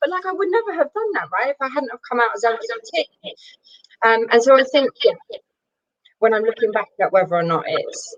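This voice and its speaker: Speaking with a North London accent at a fairly quick pace, a woman has a high pitch and very wide pitch swings in a dry, close sound with no echo. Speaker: panelist, workplace diversity and inclusion lead. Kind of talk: webinar panel discussion. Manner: fast.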